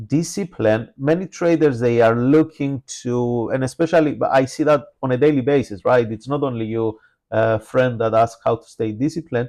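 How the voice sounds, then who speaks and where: A man at medium pitch with a non-native accent and a dark, mellow tone. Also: ordinary pitch variation, moderate pace, quiet background. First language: not English. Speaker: trading educator. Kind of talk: live trading webinar. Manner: frequent filler hesitations.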